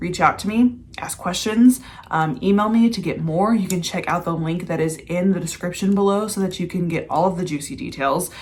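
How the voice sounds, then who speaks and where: The delivery comes at a moderate pace with ordinary pitch variation. It is an unremarkable speaking voice. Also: woman. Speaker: mindset and manifestation coach. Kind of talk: casual vlog with sales pitch.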